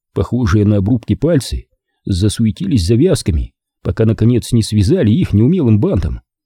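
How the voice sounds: A quiet background behind a natural reading voice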